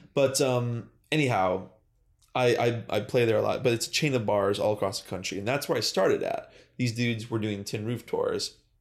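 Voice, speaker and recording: In a very clean recording with a silent background, a man with a plain, everyday voice talks at a fairly quick pace and a medium pitch, with ordinary pitch variation. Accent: American. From Western New York (Buffalo area). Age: 20s. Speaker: professional musician. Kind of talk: casual chat.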